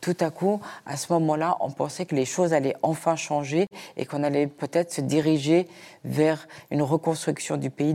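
Very deep and low in pitch, a woman speaks at a moderate pace in a dark, mellow tone with ordinary pitch variation. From Afghanistan, raised in Switzerland. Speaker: journalist and radio founder. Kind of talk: panel discussion.

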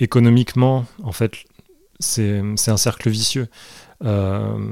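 A man's very slow, fairly even-toned delivery in a dark, mellow voice. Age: 30s. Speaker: comic book author and artist. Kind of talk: interview. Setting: artist's studio.

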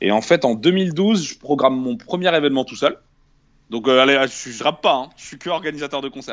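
A man with an ordinary speaking voice, a fairly high pitch, lively intonation and a moderate pace. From northern France, Tourcoing. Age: 20s. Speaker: rapper. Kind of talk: casual interview.

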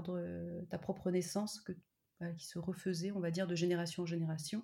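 Somewhat breathy and dark, mellow in tone, a woman speaks at a moderate pace in a medium pitch. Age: 30s. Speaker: PhD student and mother. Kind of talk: interview, personal testimony. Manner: hesitant, many fillers.

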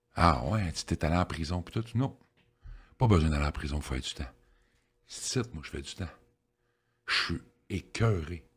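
A man talks with a very deep, low pitch and vocal fry. His intonation is lively, broken by long, frequent pauses. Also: moderate pace. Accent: Quebec. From Quebec, Victoriaville. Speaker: addiction counselor. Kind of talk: life story interview.

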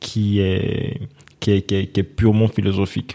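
Over noticeable background noise, a man talks in a fairly low voice with fairly even intonation. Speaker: finance entrepreneur. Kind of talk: interview. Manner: halting.

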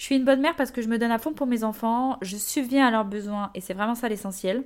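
Her pitch fairly high and her pitch variation ordinary, a woman talks very fast in a very clean recording with a silent background. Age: 20s. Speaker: podcast host and social media creator. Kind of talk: casual monologue. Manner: animated.

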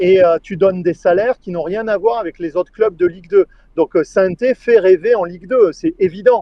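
This man's voice sits high in pitch, moving at a moderate pace with ordinary pitch variation. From France, Puy-de-Dôme near Clermont-Ferrand. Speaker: football journalist and Twitch streamer. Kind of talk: casual chat.

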